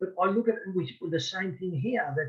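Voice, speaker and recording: A man speaks with an Australian accent at a high pitch. His intonation is lively. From Australia, rural Victoria. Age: 60s. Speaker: boxing referee. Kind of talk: interview. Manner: halting, frequent repetitions.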